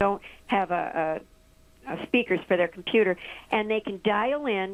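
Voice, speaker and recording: A woman's medium-pitched voice at a moderate pace. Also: ordinary pitch variation. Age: 60s. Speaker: village mayor. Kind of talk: radio interview. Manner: halting.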